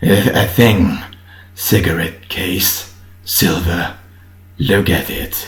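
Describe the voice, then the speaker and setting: A man's put-on character voice, strained and very deep and low, at a very slow pace with long, frequent pauses, fairly even intonation and audible echo. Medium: read story. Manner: strained, halting.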